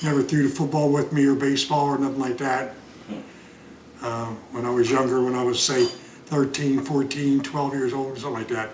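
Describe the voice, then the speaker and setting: A man speaks at a fairly quick pace with a medium pitch and monotone, flat intonation. Noticeable background noise and audible room echo surround him. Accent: American. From Pennsylvania and Delaware, US. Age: 70s. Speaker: grandfather telling life stories. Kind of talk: casual family interview. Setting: at home. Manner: hesitant, many fillers.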